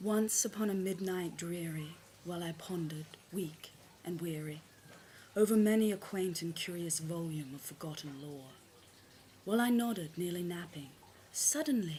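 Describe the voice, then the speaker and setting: At a moderate pace, a woman with a fairly low pitch and a dark, mellow, somewhat breathy tone speaks with ordinary pitch variation and long, frequent pauses. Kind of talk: poetry reading.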